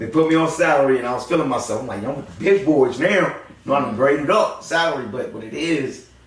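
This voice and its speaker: A man with a fairly high pitch talks at a very fast pace with lively intonation. There is audible room echo and noticeable background noise. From Los Angeles, east side. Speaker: YouTube content creator. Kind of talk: interview. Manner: casual, animated.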